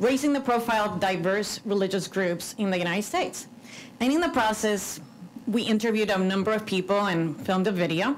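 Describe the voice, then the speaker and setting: With a Cuban accent, a woman talks at a fairly quick pace and medium pitch. Her pitch variation is ordinary, and there is audible room echo. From Cuban American. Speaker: religious freedom commissioner. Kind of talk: conference speech.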